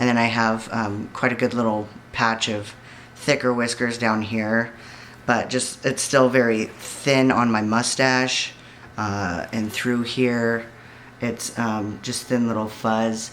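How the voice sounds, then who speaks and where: A man speaks very slowly at a medium pitch, in a flat monotone. Noticeable background noise and audible room echo are present. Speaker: vlogger. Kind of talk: personal video diary. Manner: somewhat monotone.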